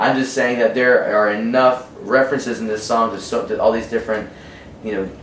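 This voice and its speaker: A man's medium-pitched voice with an American accent, audible room echo and noticeable background noise. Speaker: musician. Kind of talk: casual interview. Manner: halting, stuttering.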